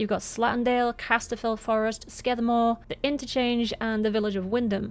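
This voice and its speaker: A woman in a Cumbrian accent talks at a fairly quick pace in a fairly high pitch, her intonation monotone and flat. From Cumbria, England. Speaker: game streamer. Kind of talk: scripted game review to camera.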